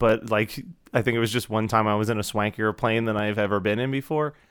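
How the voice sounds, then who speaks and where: A man with a normal speaking voice talks at medium pitch. He keeps a fairly quick pace. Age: 30s. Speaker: podcast producer. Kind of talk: casual chat.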